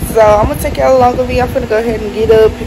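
There is loud background noise in this clip. Through it, a woman can be heard talking. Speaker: vlogger. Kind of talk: casual vlog chat. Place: home room. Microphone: phone near.

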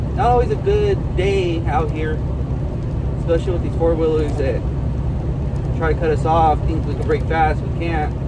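Loud background noise nearly surrounds a man who keeps to a moderate pace. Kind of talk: casual vlog chat. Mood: relaxed, positive. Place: car. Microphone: phone near.

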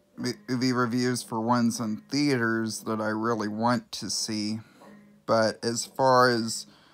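Here a man is talking. His pace is very slow. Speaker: amateur movie reviewer. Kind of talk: casual talk to camera. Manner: stuttering. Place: home room. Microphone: phone near.

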